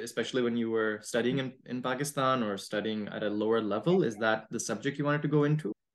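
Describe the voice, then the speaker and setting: A man at medium pitch has an ordinary speaking voice with fairly even intonation. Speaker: podcast host. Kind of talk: interview.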